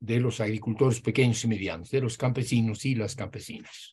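The voice has a dark, mellow tone and sounds somewhat breathy. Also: man. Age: 80s+. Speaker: professor and Marxist scholar; professor. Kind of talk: interview discussion, lecture-like explanation. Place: home room. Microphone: video call.

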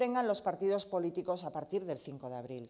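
A woman talks at a moderate pace and medium pitch in a dark, mellow tone, with a quiet background. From Basque Country, Bilbao (Deusto); Basque Country. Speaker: politician, party leader and candidate; politician, candidate. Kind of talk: campaign speech. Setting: press event.

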